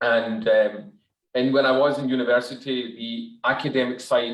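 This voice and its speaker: A man speaks in a monotone with flat intonation and a Glaswegian accent. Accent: Glaswegian Scottish. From Scotland, Glasgow. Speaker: dentist. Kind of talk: webinar talk.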